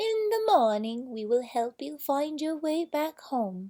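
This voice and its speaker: A woman's put-on character voice, high and fairly slow, with very wide pitch swings and a dry, close sound with no echo. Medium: read story.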